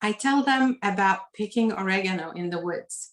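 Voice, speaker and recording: Speaking at a moderate pace with a Lebanese accent, a woman uses a medium pitch and ordinary pitch variation. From Lebanon. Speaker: author. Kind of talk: reading aloud; author talk. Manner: formal.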